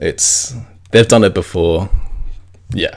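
A man with an Australian accent, at a very slow pace. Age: 20s. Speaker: podcast host. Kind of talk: personal monologue. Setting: at home in quarantine.

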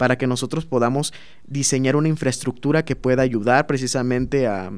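A man speaks very fast. The variation in his pitch is ordinary. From southern Veracruz, Mexico (Minatitlán). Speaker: master's student in chemical engineering. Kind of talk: interview.

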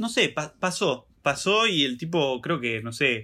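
A man speaks with a Rioplatense accent. The recording is very clean, with a silent background. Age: 20s. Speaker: podcast co-host. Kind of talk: casual chat.

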